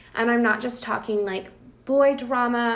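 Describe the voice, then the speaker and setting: Through audible room echo, a woman speaks at a fairly quick pace with monotone, flat intonation. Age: 20s. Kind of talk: casual faith conversation.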